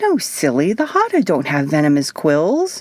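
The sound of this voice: Putting on a character voice, a woman talks at a moderate pace with a low pitch and very wide pitch swings.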